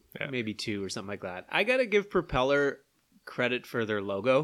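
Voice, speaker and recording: A man with a Canadian Maritime accent speaks at a medium pitch, his voice swinging very widely in pitch. The recording is very clean, with a silent background. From Prince Edward Island, Canada. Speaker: podcast co-host. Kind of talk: casual chat.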